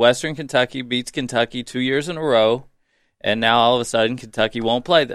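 At a fairly quick pace, a man speaks at medium pitch with fairly even intonation in a plain, everyday voice. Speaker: guest sports commentator. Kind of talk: casual sports talk.

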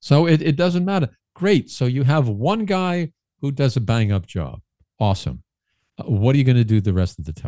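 A man with a New York accent speaks at a moderate pace with long, frequent pauses and very wide pitch swings around a medium pitch. His tone is dark and mellow, and the recording is very clean with a silent background. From Brooklyn, New York City. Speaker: political commentator guest. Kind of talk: casual interview. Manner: halting, many fillers and repeats.

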